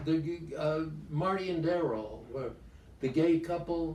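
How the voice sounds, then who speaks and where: Audible room echo surrounds a man who speaks at a fairly slow pace. His pitch is fairly high, with ordinary variation. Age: 90s. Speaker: actor. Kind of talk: interview. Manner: halting.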